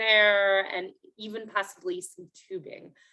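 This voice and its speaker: A woman with a fairly high pitch has an unremarkable speaking voice. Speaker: city parks planner presenting at public meeting. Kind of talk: public meeting presentation. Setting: video call. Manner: many filler words, um.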